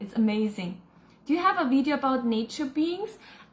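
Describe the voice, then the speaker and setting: The voice, in a German accent, moves through very wide pitch swings. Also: woman. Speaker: spiritual channeler and psychic. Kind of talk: live Q&A reading viewer comments. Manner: casual, with hesitations.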